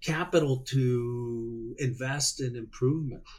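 The voice belongs to a man. It has a somewhat breathy quality. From Mexico, Hermosillo, Sonora. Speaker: seafood industry market development director. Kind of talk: interview.

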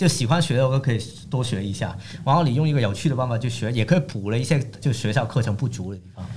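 Speaking at a medium pitch with ordinary pitch variation, a man rushes along at a very fast pace. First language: Cantonese (speaking Chinese). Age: young. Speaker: economist. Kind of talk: casual interview chat.

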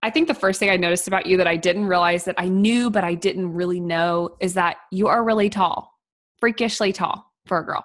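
Using a plain, everyday voice, a woman with an American accent talks at a fairly quick pace, with medium pitch and fairly even intonation. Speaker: podcast host, farm wife. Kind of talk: casual chat.

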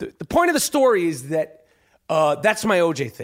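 Animated and high-pitched, a man speaks at a moderate pace in a very clean recording with a silent background. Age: 40s. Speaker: podcast host. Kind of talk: casual chat.

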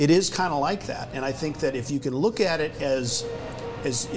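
Music plays in the background as a man with fairly high pitch and ordinary pitch variation talks. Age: 50s. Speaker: law enforcement training company executive. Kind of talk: casual chat.

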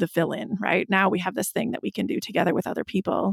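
A normal speaking voice with an American accent and fairly even intonation, on a very clean recording with a silent background. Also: woman. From US Midwest, Wisconsin. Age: 40s. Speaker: podcast host. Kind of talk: interview conversation; scripted narration.

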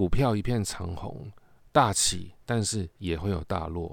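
The voice moves at a very slow pace with lively intonation. The recording is very clean, with a silent background. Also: man. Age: 40s. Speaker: podcast host and film reviewer. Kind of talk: casual monologue film review.

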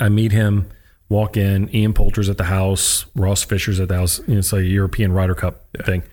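Here a man with an American accent has a normal speaking voice. His pace is moderate, and the recording is very clean with a silent background. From US, military family moving around. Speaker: sports psychologist, former college baseball pitcher. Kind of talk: interview conversation. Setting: studio.

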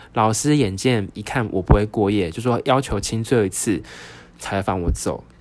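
A man with a Taiwanese accent speaks in a fairly low pitch with lively intonation. His loudness swings widely. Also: moderate pace. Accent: Taiwanese Mandarin. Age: 30s. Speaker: podcast host. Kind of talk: solo storytelling podcast. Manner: animated.

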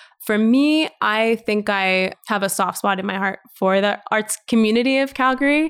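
A woman with a Canadian accent talks in a plain, everyday voice at a fairly high pitch and moderate pace. Her loudness stays very even, her pitch variation is ordinary, and she hardly pauses. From Western Canada. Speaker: arts curator and entrepreneur. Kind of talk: casual interview.

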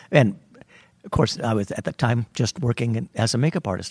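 On a very clean recording with a silent background, a man speaks at a moderate pace in a medium pitch, somewhat breathy, with a dry, close sound and no echo. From California Central Valley. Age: 60s. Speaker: theater wig master. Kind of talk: interview.

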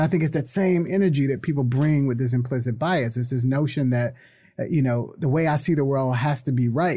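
A man with a fairly high, somewhat breathy voice of dark, mellow tone speaks at a fairly quick pace, with ordinary pitch variation and very even loudness. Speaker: college professor and activist. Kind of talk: casual conversational interview.

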